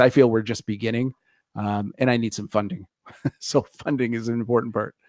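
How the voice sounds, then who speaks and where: A man with a Canadian accent talks at a medium pitch, the sound dry and close with no echo. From Canada. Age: 60s. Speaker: internet radio founder. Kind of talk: interview. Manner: hesitant, many fillers.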